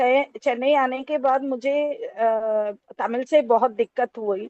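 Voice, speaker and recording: A woman's high-pitched voice in a Telangana accent, with fairly even intonation. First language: Telugu (speaking Hindi). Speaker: Hindi lecturer. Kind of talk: academic talk. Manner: halting, many fillers.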